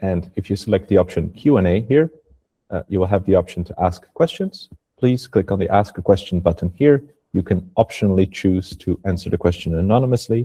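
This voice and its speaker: A man with a non-native accent talks at a fairly quick pace in a very deep, low pitch, with a dark, mellow tone, a somewhat breathy quality and a dry, close sound with no echo. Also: ordinary pitch variation. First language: not English. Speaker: webinar presenter, carbon regulation consultant. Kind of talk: webinar presentation. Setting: online webinar.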